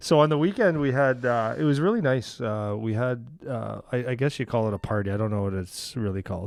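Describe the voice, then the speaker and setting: At a fairly quick pace, a man talks at a medium pitch with ordinary pitch variation and hardly any pauses. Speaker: hockey coach. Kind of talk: casual chat.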